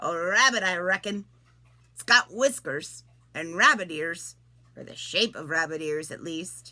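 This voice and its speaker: A put-on character voice is used here. It moves along at a moderate pace. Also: woman, fairly low pitch for a woman. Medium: read story. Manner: folksy, unhurried.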